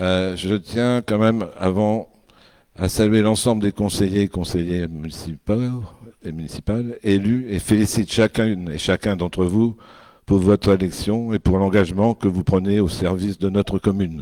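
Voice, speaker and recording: The speaker is a man with a dark, mellow tone. His intonation is fairly even. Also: fairly low pitch for a man, moderate pace. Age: old. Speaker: senior councillor chairing a town council meeting. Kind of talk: formal meeting address.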